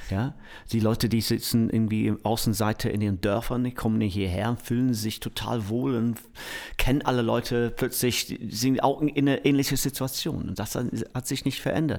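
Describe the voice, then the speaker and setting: A man with an English accent speaks at a moderate pace, his medium-pitched voice following a fairly even intonation. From England, Manchester. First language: English (speaking German). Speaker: music producer. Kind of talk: interview. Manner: halting.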